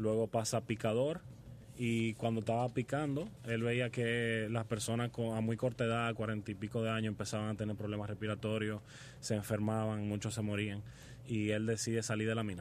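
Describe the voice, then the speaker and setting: A man at medium pitch and moderate pace, with very even loudness and monotone, flat intonation. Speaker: hospitality student and restaurant family heir. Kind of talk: radio interview.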